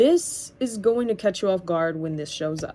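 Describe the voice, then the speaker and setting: With a plain, everyday voice, a woman of medium pitch speaks at a fairly quick pace, her intonation lively. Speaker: tarot reader. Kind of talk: tarot reading.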